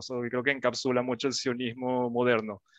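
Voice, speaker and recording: Moderate pace, dry sound with no echo, and a quiet background. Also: man. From Venezuela (Caracas). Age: 20s. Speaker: engineer; interviewee. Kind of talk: interview. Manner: halting, with many fillers. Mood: friendly, thoughtful. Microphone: headset.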